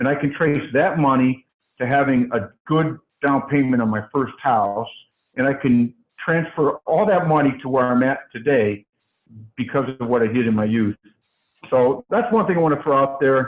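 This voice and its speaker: A man's voice at a moderate pace with very even loudness. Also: medium pitch for a man, ordinary pitch variation. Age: 60s. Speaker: franchise owner. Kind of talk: interview. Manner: halting, many fillers and repeats.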